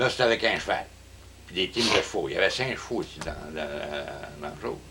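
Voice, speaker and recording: The pace is fairly quick. A man talks while noticeable background noise plays along. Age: 70s. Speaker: retired contractor. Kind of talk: casual interview. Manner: halting.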